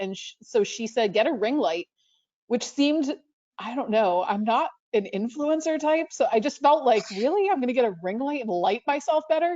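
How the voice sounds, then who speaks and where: A woman talks at a fairly quick pace with a high pitch. Her pitch swings very widely. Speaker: librarian. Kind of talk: panel talk. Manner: fast; casual, self-correcting.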